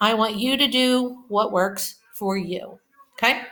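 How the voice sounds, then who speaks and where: In a Pittsburgh accent, a woman speaks at a fairly high pitch with lively intonation and a bright, sharp tone. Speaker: elementary school teacher. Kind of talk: recorded math lesson for kids. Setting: at home. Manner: slow, explanatory.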